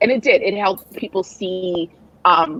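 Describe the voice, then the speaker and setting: In a dry, close recording with no echo, a woman at medium pitch talks with a slight Nigerian accent. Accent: weak Nigerian. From Nigerian heritage. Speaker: writer and mental health advocate. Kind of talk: interview conversation. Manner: halting, many repetitions.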